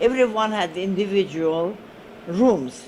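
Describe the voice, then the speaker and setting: A woman at medium pitch with lively intonation, very slow pace, and noticeable background noise. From Armenian village in Turkey. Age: 80s+. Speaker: oral history interviewee. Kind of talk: oral history interview. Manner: halting, many hesitations.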